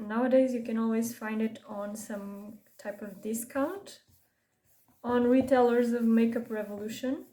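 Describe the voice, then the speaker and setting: A woman's fairly high voice in a Portuguese accent, fairly slow, fairly even in intonation but with big swings in loudness. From Portugal. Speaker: beauty vlogger. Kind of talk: casual makeup tutorial chat. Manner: halting, self-correcting.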